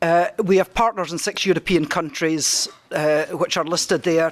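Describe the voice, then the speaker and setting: A woman speaks with a strong Scottish accent at a moderate pace. Her voice is fairly low, with ordinary pitch variation. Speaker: project researcher. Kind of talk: conference presentation.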